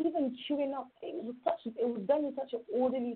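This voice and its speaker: In a London accent, a woman speaks at a moderate pace with ordinary pitch variation. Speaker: youth mentor. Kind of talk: interview. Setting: phone call.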